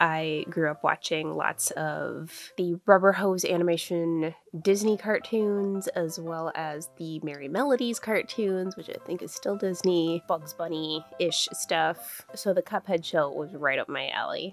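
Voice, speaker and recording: A woman talks with an American accent, ordinary pitch variation and hardly any pauses. Music plays in the background as her loudness swings widely. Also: fairly low pitch for a woman, fairly slow pace. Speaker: crochet crafter. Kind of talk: casual crafting voiceover.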